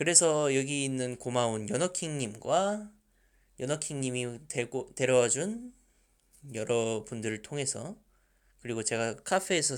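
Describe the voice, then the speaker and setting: The background is silent on a very clean recording. The delivery is fairly slow in pace. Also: man. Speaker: fan dubbing team leader, aspiring voice actor. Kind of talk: Q&A answers, casual talk.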